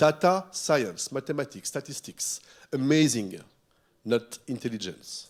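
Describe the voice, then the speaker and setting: A man at a very slow pace with lively intonation. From France. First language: French. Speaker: futurist keynote speaker. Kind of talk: keynote speech. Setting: stage with audience. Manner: animated.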